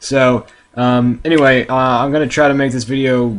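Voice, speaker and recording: A man talks fairly quickly in a medium-pitched voice. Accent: American. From USA. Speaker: video blogger, soccer fan. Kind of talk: casual vlog monologue. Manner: hesitant, many fillers.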